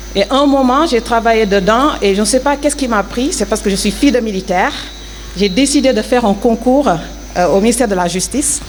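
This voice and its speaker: Fairly high in pitch, a woman talks at a fairly quick pace with ordinary pitch variation and very even loudness over noticeable background noise. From Senegal. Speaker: former athlete, prison administration officer. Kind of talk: interview testimony. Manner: hesitant, many fillers.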